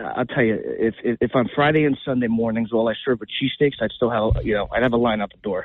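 In a New Jersey accent, a man of medium pitch speaks with monotone, flat intonation. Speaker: restaurant owner. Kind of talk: radio interview. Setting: phone call.

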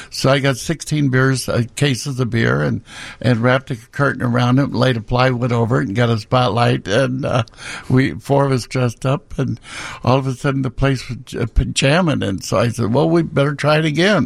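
With a Midwestern American accent, a man speaks at a medium pitch and moderate pace. His voice shows vocal fry and ordinary pitch variation. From Peoria, Illinois. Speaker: drag club owner. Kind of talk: radio interview. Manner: halting.

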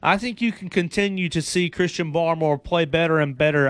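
Speaking with an East Tennessee accent, a man has a fairly high pitch. He talks at a moderate pace with ordinary pitch variation. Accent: Southern US (East Tennessee). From Chattanooga area, Tennessee-Georgia border. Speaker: fill-in sports radio host. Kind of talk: sports talk radio. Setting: radio studio.

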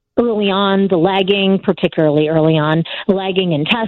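A woman's medium-pitched, normal speaking voice with fairly even intonation. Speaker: TV news correspondent. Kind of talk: radio interview.

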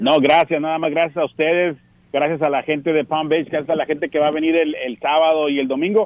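With a plain, everyday voice, a man talks at a fairly quick pace, his pitch fairly high and his intonation fairly even. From Tijuana, Mexico. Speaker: baseball radio broadcaster. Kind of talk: casual interview.

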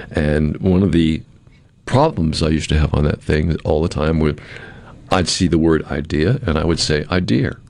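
Speaking at a fairly quick pace, a man with a very deep, low voice shows ordinary pitch variation against noticeable background noise. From New England. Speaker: podcast host, former television host. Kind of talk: casual chat.

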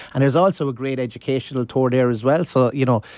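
With an Irish accent, this man speaks. His delivery is very fast. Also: dry, close sound with no echo, very clean recording, silent background. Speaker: master distiller. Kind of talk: casual interview. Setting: studio.

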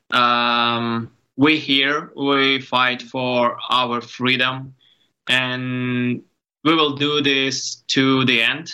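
A man with a Ukrainian accent speaks at medium pitch in a bright, sharp tone. His delivery is very slow, monotone and flat, with very even loudness. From Ukraine. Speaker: photographer. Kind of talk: interview. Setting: video call. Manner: halting.

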